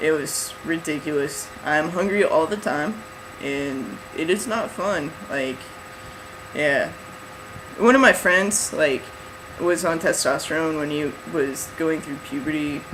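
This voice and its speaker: Amid noticeable background noise and audible room echo, a man with a fairly high pitch speaks with lively intonation. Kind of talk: casual vlog update. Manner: rambling, filler-heavy.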